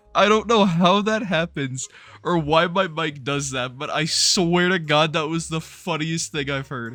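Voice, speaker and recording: Over music in the background, a man with a fairly high voice speaks at a fairly slow pace with ordinary pitch variation. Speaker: gaming youtuber. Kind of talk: gameplay commentary. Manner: animated.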